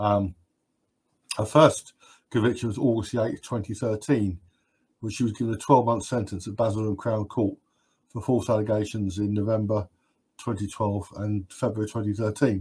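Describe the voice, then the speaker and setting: A man's fairly low, somewhat breathy voice in a British accent, dark and mellow in tone, at a moderate pace with fairly even intonation and long, frequent pauses, on a very clean recording with a silent background. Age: 60s. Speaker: live stream host. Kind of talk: live stream Q&A chat. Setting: live stream. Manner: halting with frequent repetitions.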